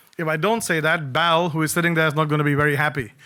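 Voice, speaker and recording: With a Punjabi accent, a man talks at a very fast pace in a bright, sharp tone and a fairly high pitch. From Singapore. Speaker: cybersecurity speaker. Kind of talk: conference talk. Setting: stage with audience. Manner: animated.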